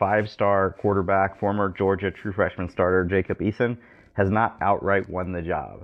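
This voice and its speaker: A man with a plain, everyday voice speaks at a fairly low pitch and moderate pace with fairly even intonation. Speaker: podcast host. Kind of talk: casual sports talk podcast.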